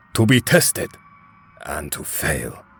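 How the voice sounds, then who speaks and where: A man speaks in a put-on character voice. He is acting out a role. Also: very deep, low pitch for a man. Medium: fan dub. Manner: dry, terse.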